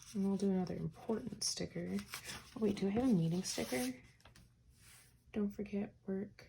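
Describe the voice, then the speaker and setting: At a moderate pace, a woman speaks quietly and somewhat breathily. Her voice is medium in pitch, with ordinary pitch variation. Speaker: teacher and planner vlogger. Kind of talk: casual plan-with-me tutorial.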